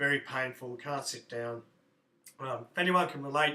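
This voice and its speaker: Fairly high in pitch, a man speaks with an Australian accent. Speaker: fitness coach and vlogger. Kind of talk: video blog. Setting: indoors at standing desk. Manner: hesitant with fillers.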